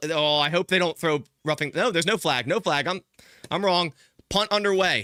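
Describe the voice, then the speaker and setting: At a moderate pace, a man with a slight Philadelphia accent speaks at a high pitch in a bright, sharp tone with ordinary pitch variation, the sound dry and close with no echo. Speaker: sports streamer giving play-by-play. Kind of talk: live play-by-play commentary. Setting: live stream. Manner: animated.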